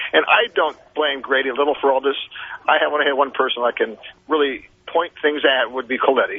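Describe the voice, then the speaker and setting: Speaking at a very fast pace, a man uses a fairly high pitch. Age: 60s. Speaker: caller. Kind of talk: casual chat. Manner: halting.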